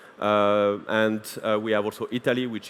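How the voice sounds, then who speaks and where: A man with a French accent speaks at a fairly low pitch and a moderate pace. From France. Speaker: conference speaker, waste solutions company representative. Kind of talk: conference presentation. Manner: hesitant, many filler sounds.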